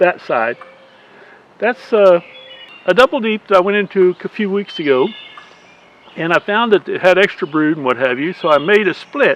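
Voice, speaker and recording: With a Southern US accent, this voice moves at a moderate pace with lively intonation and long, frequent pauses, recorded dry and close with no echo over noticeable background noise. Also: man, high pitch for a man. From US South. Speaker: beekeeper. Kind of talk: casual video update. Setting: outdoors. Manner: halting.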